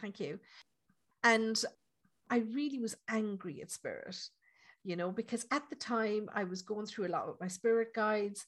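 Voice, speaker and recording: A woman with an Irish accent speaks at a fairly high pitch, somewhat breathy. Her pace is moderate and her pitch varies in an ordinary way. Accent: Irish, lilting. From Ireland. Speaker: psychic medium. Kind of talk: casual interview chat.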